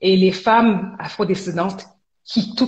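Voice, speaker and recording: Somewhat breathy, the woman's voice rests at a medium pitch. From Quebec, Montreal. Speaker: entrepreneur. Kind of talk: interview.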